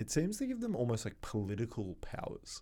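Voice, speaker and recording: A man talks in a very clean recording against a silent background. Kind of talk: casual comedy chat.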